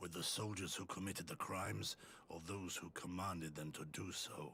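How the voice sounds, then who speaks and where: A man uses a put-on character voice. It sits at a very deep, low pitch. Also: moderate pace. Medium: video game. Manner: calm, earnest.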